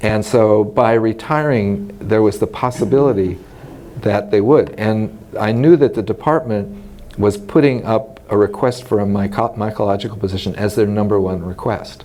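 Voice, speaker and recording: A man with an American accent speaks at a moderate pace, his fairly low pitch showing ordinary variation. There is noticeable background noise. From US West Coast, Los Angeles. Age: 60s. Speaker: retired mycology professor. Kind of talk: oral history interview. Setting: scientific congress. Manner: hesitant, many fillers.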